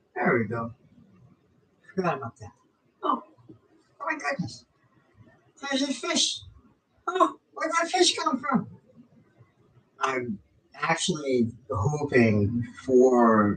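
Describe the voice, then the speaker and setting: A man speaks at a very slow pace. He leaves long, frequent pauses. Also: big swings in loudness. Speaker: vlogger filming his fish tank. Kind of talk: casual monologue to camera. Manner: halting, with many pauses and fillers; loud, raised pitch from work habit.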